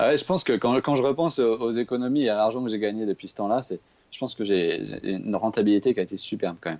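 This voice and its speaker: A man talks at a very fast pace, his medium pitch showing ordinary variation. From Paris region, France. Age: 20s. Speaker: traveller. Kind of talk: casual chat.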